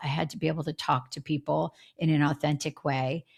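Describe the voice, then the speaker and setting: A woman with a very deep, low pitch and an American accent speaks at a moderate pace with vocal fry. Her intonation is fairly even, and the recording is very clean with a silent background. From US Northeast, Philadelphia. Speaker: former TV crime reporter, author. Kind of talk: podcast interview.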